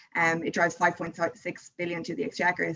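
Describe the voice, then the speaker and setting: A woman talks at a fairly quick pace in an Irish accent. Her pitch sits in the medium range. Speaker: tourism board representative. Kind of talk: interview.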